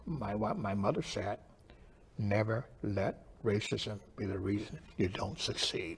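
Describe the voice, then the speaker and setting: With an American accent, a man speaks at a fairly slow pace in a somewhat breathy voice of fairly low pitch. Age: 80s+. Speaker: computer pioneer. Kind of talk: interview.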